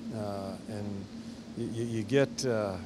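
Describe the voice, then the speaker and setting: A man speaks over noticeable background noise. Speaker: hockey head coach. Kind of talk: interview answer. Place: hall.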